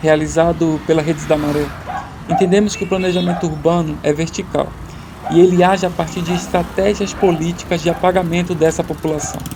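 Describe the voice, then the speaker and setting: Speaking at a fairly quick pace, a man has a high pitch and fairly even intonation. There is noticeable background noise. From Paraíba, northeast Brazil. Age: 20s. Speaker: documentary director. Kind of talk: scripted narration.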